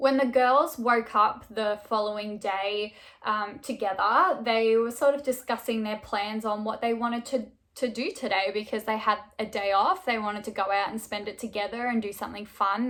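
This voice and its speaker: Speaking with an Australian accent, a woman keeps a moderate pace. Her pitch is fairly high and her intonation fairly even. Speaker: true crime YouTuber. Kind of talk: casual storytelling narration. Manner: conversational, frequent fillers.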